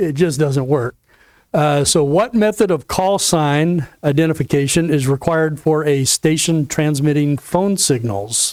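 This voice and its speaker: This man has a slight Southern US accent and a fairly high pitch with ordinary variation. He speaks at a fairly slow pace, his loudness very even. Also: very clean recording, silent background. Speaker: ham radio license class instructor. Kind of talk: lecture. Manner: halting, with fillers.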